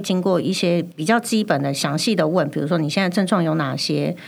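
Speaking at a very fast pace, a woman uses lively intonation. Her pitch is fairly low. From Taiwan, Chiayi. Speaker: pharmacist. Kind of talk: casual chat. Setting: studio.

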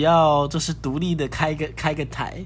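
This man's voice is pitched fairly high. Its sound is somewhat breathy. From northern Taiwan, Sanchong. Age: 30s. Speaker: podcast host. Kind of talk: casual chat.

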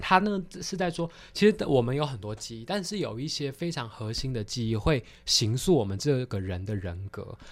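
A man with a medium pitch keeps a moderate pace while his pitch swings very widely. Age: 20s. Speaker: theology student and film commentator. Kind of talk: film discussion interview.

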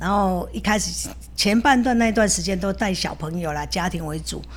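Her pace is moderate. The woman's voice carries audible echo from the room. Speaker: dance teacher and food shop owner. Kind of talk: casual interview.

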